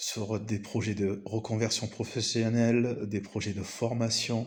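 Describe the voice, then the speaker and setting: Audible room echo surrounds a man who talks at a very slow pace, his fairly low pitch held in fairly even intonation. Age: 40s. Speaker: business coach. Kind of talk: video presentation monologue. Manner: hesitant with many fillers.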